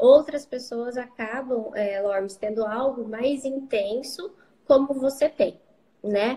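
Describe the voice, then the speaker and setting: A woman speaks at a fairly slow pace. Her high-pitched voice has a dark, mellow tone. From Brazil, São Paulo interior (Marília). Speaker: psychologist. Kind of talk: interview.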